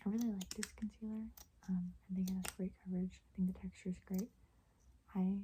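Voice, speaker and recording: Speaking at a medium pitch in a monotone, flat intonation, a woman pauses long and often, with big swings in loudness. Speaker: asmr youtuber. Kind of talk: asmr haul, soft spoken whisper. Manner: soft-spoken, whispering.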